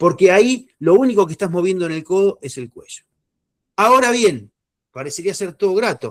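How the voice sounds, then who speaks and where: Very wide pitch swings come through in a dry, close sound with no echo. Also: man. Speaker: neurodynamics instructor. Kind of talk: lecture. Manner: fast.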